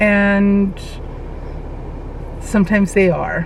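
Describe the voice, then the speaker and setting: There is audible room echo and noticeable background noise as a woman speaks at a very slow pace. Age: 60s. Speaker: weight loss vlogger. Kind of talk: personal vlog monologue. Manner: halting, with fillers and self-repeats.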